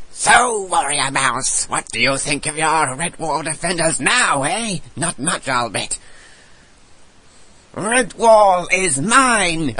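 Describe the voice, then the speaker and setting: A man does a put-on character voice, pitched high and menacing in tone. He speaks very slowly. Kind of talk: voice demo reel. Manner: menacing, shouted.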